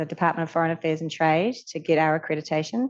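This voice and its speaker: Someone talks with a New Zealand accent against a quiet background. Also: woman. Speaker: charity leader. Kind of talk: panel Q&A answers. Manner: hesitant fillers.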